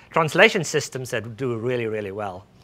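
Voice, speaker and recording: A man with a South African accent speaks with ordinary pitch variation. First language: Afrikaans. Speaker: speech recognition research scientist. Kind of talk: tech demo presentation. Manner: halting, many fillers.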